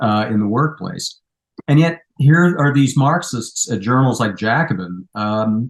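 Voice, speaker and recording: The speaker has an ordinary speaking voice. The pitch shows ordinary variation. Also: man. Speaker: humanities professor, author. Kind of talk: interview answer.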